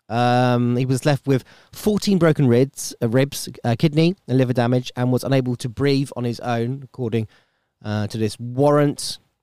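A man speaks in an English accent at medium pitch with ordinary pitch variation and a moderate pace. His tone is dark and mellow, and the sound is dry and close with no echo. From UK. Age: 30s. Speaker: podcast host. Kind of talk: casual monologue. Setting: home studio.

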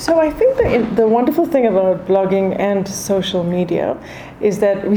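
A woman talks at a medium pitch. There is noticeable background noise along with audible room echo. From South Africa. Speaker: food journalist and author. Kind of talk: interview.

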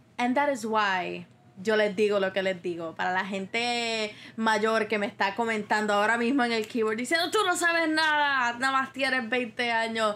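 Speaking at a moderate pace, a woman has a fairly high pitch and a bright, sharp tone. Her pitch variation is ordinary and her loudness very even. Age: 20s. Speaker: podcast host. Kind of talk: solo monologue podcast.

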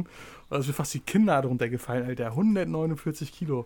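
This man's voice comes through on a very clean recording against a silent background. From Rostock, northeastern Germany. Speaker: podcast host. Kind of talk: casual chat.

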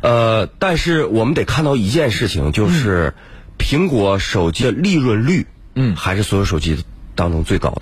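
A man talks at a moderate pace, his pitch swinging very widely while his loudness stays very even. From Harbin, northeast China. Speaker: tech company founder. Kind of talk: radio interview. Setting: radio studio.

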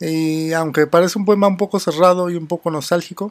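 A man with a normal speaking voice talks at a moderate pace. His intonation is fairly even. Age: 30s. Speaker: poetry podcast host. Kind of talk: poetry reading with commentary.

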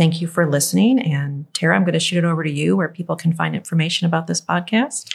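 Somewhat breathy and very deep, low in pitch, a woman's voice moves at a fairly quick pace. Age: 60s. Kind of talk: casual chat.

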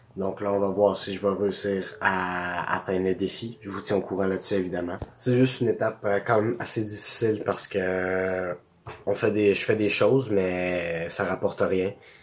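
A man speaks with a Quebec accent at a fairly low pitch. His intonation is monotone and flat, and his pace is moderate. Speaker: vlogger and small online seller. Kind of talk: casual vlog monologue.

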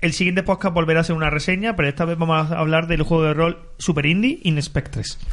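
This man talks at a very fast clip with hardly any pauses, his high voice keeping a fairly even intonation. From Andalusia. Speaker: podcast co-host. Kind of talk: casual chat.

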